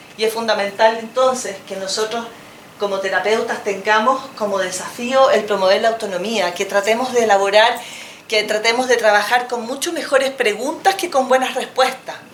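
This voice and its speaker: Over noticeable background noise and audible room echo, a woman speaks at a moderate pace with a fairly high pitch and ordinary pitch variation. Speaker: psychologist. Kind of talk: lecture.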